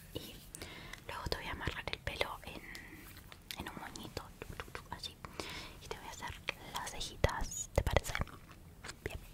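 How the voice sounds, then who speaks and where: Whispering at a fairly slow pace, a woman leaves long, frequent pauses, and her loudness swings widely. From Uruguay. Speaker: ASMR creator. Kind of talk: ASMR roleplay. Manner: soft, gentle, relaxing. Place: home room. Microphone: studio mic.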